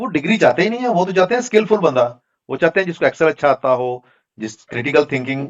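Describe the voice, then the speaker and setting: A man talks at a moderate pace with very wide pitch swings. The sound is dry and close, with no echo. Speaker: data analytics trainer. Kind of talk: online class Q&A.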